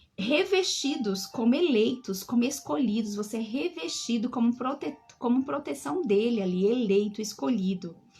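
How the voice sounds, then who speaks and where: Making very wide pitch swings at a fairly high pitch, a woman speaks at a moderate pace with hardly any pauses over noticeable background noise. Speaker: bible teacher. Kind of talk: live online bible study.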